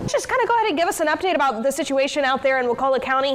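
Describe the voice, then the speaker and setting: Over noticeable background noise, a woman speaks with a high pitch and an energetic tone. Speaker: TV news anchor. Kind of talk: live field report.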